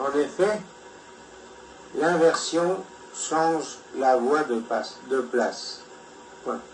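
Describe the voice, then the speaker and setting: A man talks at a very slow pace with long, frequent pauses and a fairly high pitch. Noticeable background noise runs underneath. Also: ordinary pitch variation. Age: 80s+. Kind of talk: personal lecture read from notes.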